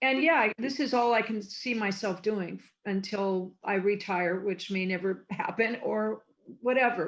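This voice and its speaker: A woman with an American accent has a plain, everyday voice at fairly high pitch, speaking at a moderate pace with ordinary pitch variation. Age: 60s. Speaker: former TV production coordinator and convention guest. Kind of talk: interview.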